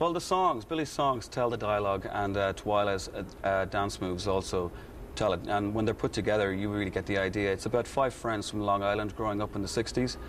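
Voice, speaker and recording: A man with an Irish accent at a fairly quick pace. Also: fairly low pitch for a man, ordinary pitch variation. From Ireland, Kilkenny. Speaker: musical theatre actor and singer. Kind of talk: TV interview. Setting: TV studio. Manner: hesitant, many fillers.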